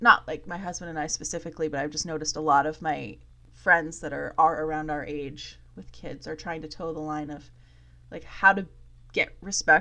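This woman's voice is very deep and low, with a bright, sharp tone, fairly even intonation and a fairly quick pace. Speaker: podcast host. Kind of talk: casual chat. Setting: at home.

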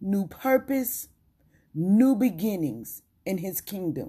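A woman's somewhat breathy voice at a medium pitch, dark and mellow in tone, very slow, on a very clean recording with a silent background. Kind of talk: testimony. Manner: emphatic, repetitive declarations.

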